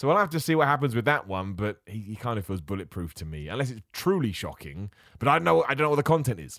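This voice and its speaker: A man with a British accent speaks very fast at a fairly low pitch, his pitch swinging very widely and his loudness shifting a lot, with hardly any pauses, on a very clean recording with a silent background. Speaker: wrestling podcast host. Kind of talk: casual solo podcast commentary. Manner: informal, chatty.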